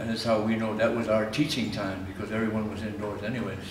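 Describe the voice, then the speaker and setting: In an American accent, the speech runs at a fairly quick pace with fairly even intonation, amid noticeable background noise and audible room echo. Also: man. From US Midwest, northeast Nebraska. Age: 60s. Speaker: painter. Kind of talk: interview.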